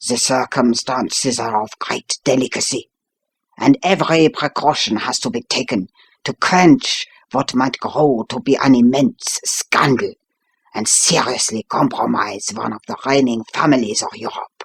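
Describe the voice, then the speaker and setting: Putting on a character voice, a man talks at a moderate pace and medium pitch with ordinary pitch variation. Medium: read story. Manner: formal, imperious.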